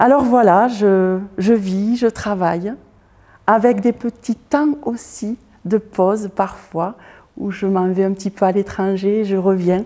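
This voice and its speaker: A woman speaks at a very slow pace in a medium pitch. Her tone is dark and mellow, with ordinary pitch variation. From southern France, Toulouse. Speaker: artist and fashion designer, former teacher. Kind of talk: interview monologue. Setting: art school building with glass roof. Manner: hesitant, many filler sounds.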